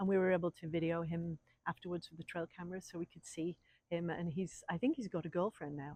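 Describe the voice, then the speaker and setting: The speaker has an English accent. The pace is fairly quick. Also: woman, dry, close sound with no echo. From England. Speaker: wildlife refuge volunteer. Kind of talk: interview answers. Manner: halting, many fillers.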